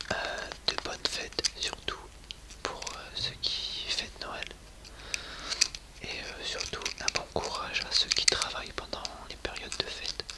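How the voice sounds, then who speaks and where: Over noticeable background noise, a man whispers very slowly, leaving long, frequent pauses. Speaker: ASMR content creator. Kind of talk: casual talk to camera, ASMR channel intro.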